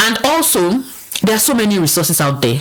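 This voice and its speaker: A woman's voice with very wide pitch swings. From Nigeria. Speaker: business analyst. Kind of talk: casual interview chat.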